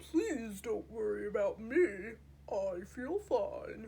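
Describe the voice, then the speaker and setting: A woman speaks in a put-on character voice. Her pace is very slow. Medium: read story. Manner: polite, formal, unhurried.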